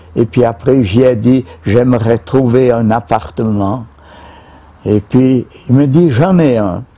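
A man speaks at a very slow pace in a dark, mellow tone, keeping his loudness very even and leaving long, frequent pauses. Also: ordinary pitch variation. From Switzerland. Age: 90s. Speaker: retired beekeeper. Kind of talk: casual interview. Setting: outdoors at his beehives, on camera. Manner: halting, repeats words. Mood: relaxed, smiling. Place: garden.

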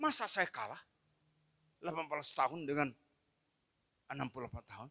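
A man speaks in a bright, sharp tone. His pitch varies in an ordinary way. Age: 60s. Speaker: pastor. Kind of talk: sermon. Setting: church. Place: church. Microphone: handheld.

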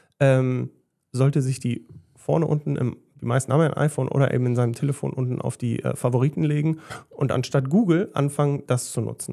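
A man's dark, mellow voice at a fairly quick pace, with ordinary pitch variation and a quiet background. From Westphalia, Germany (Gütersloh); Westphalia, Germany. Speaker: hairdresser and salon owner; podcast guest. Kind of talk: casual chat. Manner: calm. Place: studio. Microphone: studio mic.

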